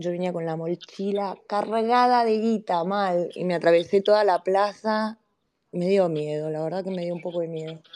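The voice has a dark, mellow tone. Its pace is moderate. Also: woman, medium pitch for a woman. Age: old. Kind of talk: casual chat.

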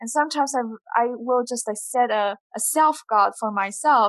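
A woman with a Chinese accent, fairly high-pitched, at a moderate pace. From southeastern China. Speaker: PhD graduate in natural resource sciences. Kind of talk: casual interview. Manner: hesitant, many fillers.

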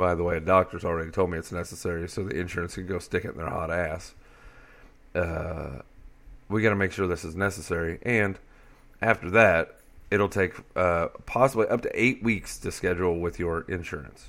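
Speaking at a fairly quick pace with an American accent, a man with a very deep, low voice shows ordinary pitch variation on a very clean recording with a silent background. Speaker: podcast host. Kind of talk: casual solo podcast monologue. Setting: home, dogs in background. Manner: rambling, self-deprecating, casual.

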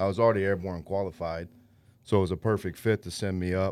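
On a very clean recording with a silent background, a man with a very deep, low pitch and an American accent talks at a moderate pace with fairly even intonation. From Indiana, Lafayette. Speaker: bait shop owner, army veteran. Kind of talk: casual chat. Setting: studio.

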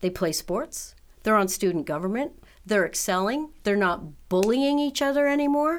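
The speaker has an American accent and very wide pitch swings at a moderate pace. The recording is very clean, with a silent background. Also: woman, fairly high pitch for a woman. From New York City. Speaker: nonprofit director. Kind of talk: interview.

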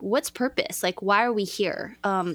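An ordinary speaking voice: a woman with an American accent, medium pitch and ordinary pitch variation, on a very clean recording with a silent background. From Los Angeles, California. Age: 40s. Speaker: former dancer and travel agent. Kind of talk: casual interview chat.

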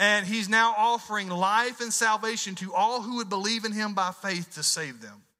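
A man with a Southern US accent projects a raised, high-pitched voice with a bright, sharp tone and lively intonation. The recording is very clean, with a silent background. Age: 40s. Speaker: pastor. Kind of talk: sermon.

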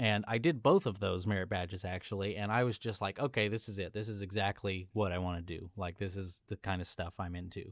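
An unremarkable speaking voice, this man's has a fairly low pitch and an American accent, moving at a fairly quick pace with hardly any pauses and fairly even intonation. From Southern California, Los Angeles. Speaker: film colorist. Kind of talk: casual chat.

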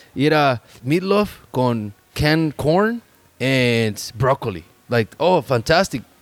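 Speaking at a medium pitch with a Spanish accent, a man takes a fairly slow pace and makes very wide pitch swings. His loudness stays very even, and the sound is dry and close with no echo. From Mexico. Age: 30s. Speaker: podcast host. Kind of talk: casual chat.

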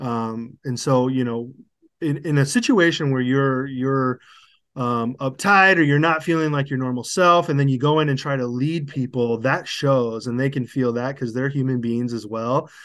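The speaker has a Midwestern American accent and ordinary pitch variation. The pace is moderate, and the background is quiet. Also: man, medium pitch for a man. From US Midwest, Cedar Rapids, Iowa. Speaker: sales manager. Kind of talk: interview. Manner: halting, many fillers and restarts.

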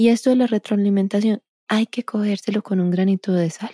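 A woman with a dark, mellow tone is heard in a very clean recording, the background silent and the sound dry and close with no echo. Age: 30s. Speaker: podcast host and movement coach. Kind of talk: solo podcast talk.

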